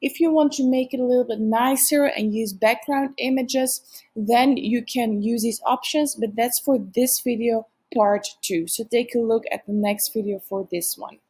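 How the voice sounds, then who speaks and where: A woman with a non-native accent speaks at a moderate pace. Her pitch is fairly high, with ordinary variation, and her tone is dark and mellow. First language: not English. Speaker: software tutorial presenter. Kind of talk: software tutorial narration.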